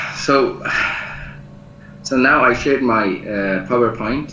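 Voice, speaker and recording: A man with a non-native accent talks at a fairly slow pace with lively intonation, over noticeable background noise and audible room echo. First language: not English. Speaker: lecturer and researcher. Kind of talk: online lecture. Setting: video call. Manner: halting, many fillers. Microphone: poor internet connection.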